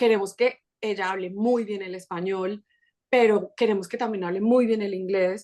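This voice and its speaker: A woman with a Colombian accent talks at a moderate pace with fairly even intonation. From Colombia, Bogotá. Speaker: podcast creator and mother. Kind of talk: casual interview chat.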